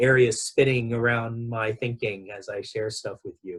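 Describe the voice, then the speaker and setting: A man with an American accent talks at a medium pitch and a fairly slow pace. His voice is somewhat breathy. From Southern California, Los Angeles. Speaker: education director and researcher. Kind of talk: interview.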